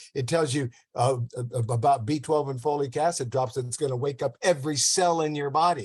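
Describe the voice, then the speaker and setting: A man with a fairly high pitch and a somewhat breathy voice talks at a fairly quick pace with ordinary pitch variation. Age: 80s+. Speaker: diet and health promoter. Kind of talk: casual interview chat. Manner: halting, repetitive.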